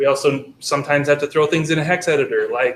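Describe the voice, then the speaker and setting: A man at a fairly high pitch and fairly quick pace, with monotone, flat intonation. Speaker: university lecturer. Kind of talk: lecture. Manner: fast; hesitant with fillers.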